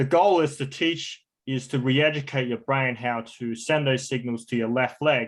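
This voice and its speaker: Speaking with an Australian accent, this man's voice sits at a medium pitch. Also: ordinary pitch variation, moderate pace. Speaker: stroke recovery coach. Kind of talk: online class.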